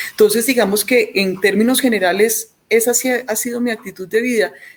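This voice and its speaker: This woman has an Antioquian Colombian accent. Her pitch is fairly high. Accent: Antioquian (paisa) Colombian accent, kept. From Colombia, Antioquia (Medellín). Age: 50s. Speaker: physician, pediatrician. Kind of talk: interview. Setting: remote from home. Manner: hesitant, many repetitions.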